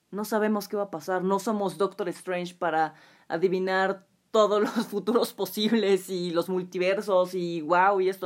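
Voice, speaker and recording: A woman speaks in an animated tone with a Mexican accent. The recording is very clean, with a silent background. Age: 20s. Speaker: podcast host. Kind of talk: solo podcast monologue.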